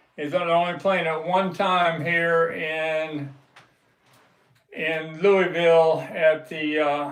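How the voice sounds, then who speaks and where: A man's relaxed, fairly high voice at a very slow pace, flat and monotone, with audible room echo. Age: 70s. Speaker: live stream host, record collector. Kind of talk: casual live stream chat. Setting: live stream. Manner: relaxed, hesitant with fillers.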